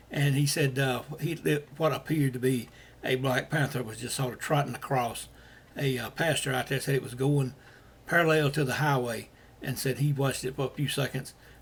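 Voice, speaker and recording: A man speaks at a fairly quick pace in a somewhat breathy voice with monotone, flat intonation. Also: medium pitch for a man. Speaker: paranormal sighting reporter. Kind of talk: casual podcast talk. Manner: rambling, hesitant.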